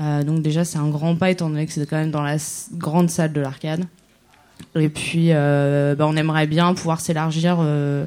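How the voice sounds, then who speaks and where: With long, frequent pauses, a woman speaks at a moderate pace in a very deep, low pitch and a monotone, flat intonation. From Germany. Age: 20s. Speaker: concert promoter, runs an association. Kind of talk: casual interview. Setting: live radio in a cabaret with audience.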